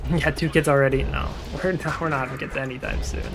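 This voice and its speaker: Someone talks with an American accent over noticeable background noise. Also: man. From Utah. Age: 20s. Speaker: video game streamer. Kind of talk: casual chat. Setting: live stream.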